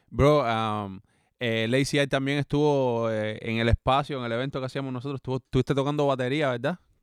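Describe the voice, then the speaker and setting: A man's medium-pitched voice with a Cuban accent, fairly even intonation, and a dry, close sound with no echo. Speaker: podcast co-host and musician. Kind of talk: casual chat.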